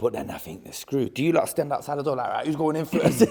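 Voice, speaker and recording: A man with a London accent talks at a very fast pace in a fairly high pitch. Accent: London multicultural English. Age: 30s. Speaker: podcast host. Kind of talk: casual podcast interview.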